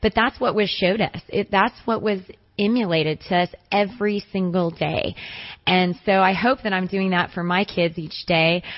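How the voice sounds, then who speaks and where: In a plain, everyday voice, a woman speaks at a medium pitch and moderate pace with fairly even intonation. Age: young. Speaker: basketball coach. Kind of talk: radio interview.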